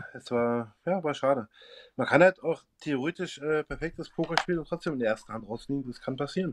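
In a dry, close sound with no echo, a man speaks fairly quickly at a fairly high pitch with ordinary pitch variation. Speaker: football fan and poker player. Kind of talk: casual chat.

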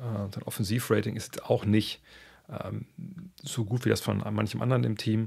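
At a fairly slow pace, a man talks against a quiet background. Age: 50s. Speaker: basketball podcast host. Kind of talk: casual podcast monologue answering listener questions. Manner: conversational with many fillers. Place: home room. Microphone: studio mic.

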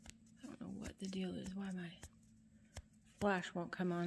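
Over noticeable background noise, a somewhat breathy woman speaks at a moderate pace with fairly even intonation. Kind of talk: casual vlog chat. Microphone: phone near.

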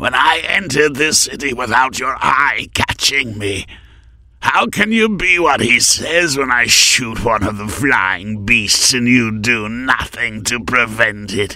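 Putting on a character voice, a man growls in a menacing tone at a fairly slow pace with ordinary pitch variation. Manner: menacing, taunting.

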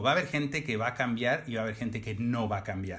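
This is a man with an ordinary speaking voice. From Mexico, Oaxaca. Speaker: fashion designer. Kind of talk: casual chat.

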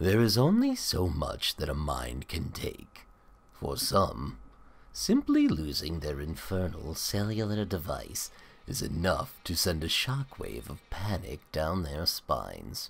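A man's put-on character voice, very deep and low, at a fairly slow pace. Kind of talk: horror narration. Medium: read story. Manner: ominous, sardonic.

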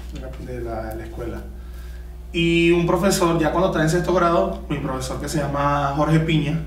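The voice comes with light background noise and audible room echo. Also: man, moderate pace. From Venezuela, Caracas. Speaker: trombonist. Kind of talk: casual interview. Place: studio.

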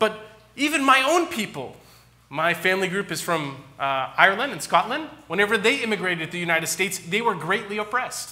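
Raising and projecting his voice, a man talks at a fairly quick pace in a high pitch, with very wide pitch swings. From California. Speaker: pastor. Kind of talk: sermon. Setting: church. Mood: earnest, gently appealing. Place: church. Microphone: podium.

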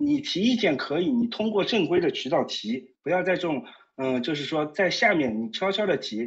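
Talking at a fairly quick pace, a man swings his pitch very widely. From Shanghai. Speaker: caller. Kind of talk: casual chat. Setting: phone call. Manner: halting.

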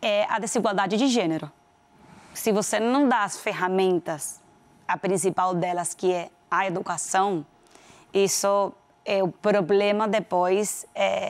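A woman speaks with a Venezuelan accent. Her intonation stays fairly even. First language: Spanish (speaking Portuguese). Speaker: corporate executive; guest. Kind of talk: interview. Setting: studio. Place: studio. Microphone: lapel.

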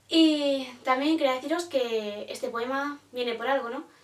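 A woman speaks at a high pitch with ordinary pitch variation. Audible room echo is present. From Spain. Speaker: poet and vlogger; vlogger, poet. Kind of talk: casual vlog reflection. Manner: animated; hesitant. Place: home room. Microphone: phone near.

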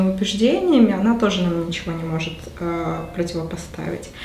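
With audible room echo and light background noise, a woman talks at a moderate pace with ordinary pitch variation. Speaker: book club participant. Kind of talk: group book discussion. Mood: engaged, reflective. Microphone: camera far.

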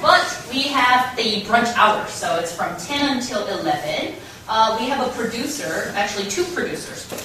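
A woman's high pitch with very wide pitch swings at a fairly slow pace, with light background noise and audible room echo. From South Korea. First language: Korean. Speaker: radio host and scriptwriter. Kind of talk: public talk. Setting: stage with audience. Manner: friendly. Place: meeting room. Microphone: camera far.

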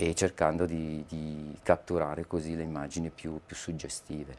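At a fairly slow pace, a man is talking. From northern Italy, Lecco area (Mandello del Lario). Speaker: aerial photographer. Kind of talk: interview. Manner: halting, with many fillers and repetitions. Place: studio. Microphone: lapel.

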